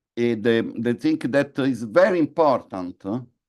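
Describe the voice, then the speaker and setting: Over a quiet background, a man with a non-native accent speaks at a fairly slow pace. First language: not English. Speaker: conference speaker on energy policy. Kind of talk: conference presentation. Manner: halting, many fillers and repetitions.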